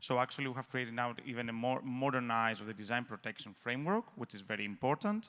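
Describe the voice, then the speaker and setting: Hardly pausing, a man talks at a very fast pace in a medium pitch with ordinary variation and a bright, sharp tone. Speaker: lawyer at an intellectual property agency. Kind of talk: conference talk.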